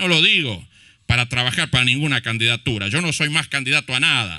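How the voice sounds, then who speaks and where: Over a silent background in a very clean recording, a man talks at a moderate pace with a medium pitch. His tone is bright and sharp, his intonation lively, and there is vocal fry in his voice. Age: 50s. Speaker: mayor. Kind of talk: public speech at commemoration ceremony. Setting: outdoor public ceremony in a plaza. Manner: impassioned.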